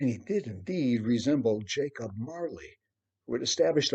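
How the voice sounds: Intonation rises and falls in a lively way in this natural reading voice. Little else can be heard, as the background stays quiet.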